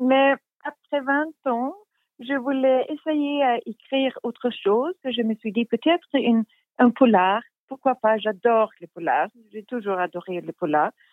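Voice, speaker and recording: Speaking with a Swedish accent, a woman uses a high pitch, lively intonation and big swings in loudness at a fairly slow pace with long, frequent pauses. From Sweden, Stockholm. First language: Swedish (speaking French). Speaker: crime novelist. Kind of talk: interview. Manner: halting.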